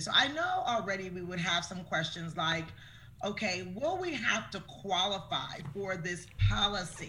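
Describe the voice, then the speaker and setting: Over noticeable background noise, the speaker uses an enthusiastic, warm tone at a fairly slow pace. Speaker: show host interviewing guest. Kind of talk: casual friendly interview.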